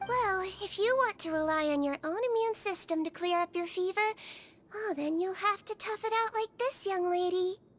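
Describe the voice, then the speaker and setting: A woman performs a put-on character voice at an extremely high pitch with ordinary pitch variation, with music in the background. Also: moderate pace. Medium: video game. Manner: sweet, patient.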